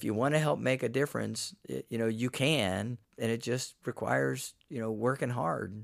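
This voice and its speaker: A man with an American accent speaks in a medium-pitched voice at a moderate pace. His intonation is lively on a very clean recording with a silent background. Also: hardly any pauses. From Florida, Polk County (Winter Haven). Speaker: conservation nonprofit director. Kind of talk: casual interview. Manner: halting, with frequent fillers.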